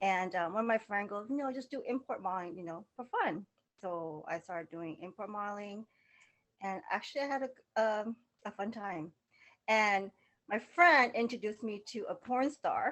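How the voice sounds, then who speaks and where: A woman's lively, moderately paced speech with a slight Laotian accent and long, frequent pauses. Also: medium pitch for a woman. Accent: slight Laotian touch. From Southern California. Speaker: model and fashion stylist. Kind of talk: casual interview chat.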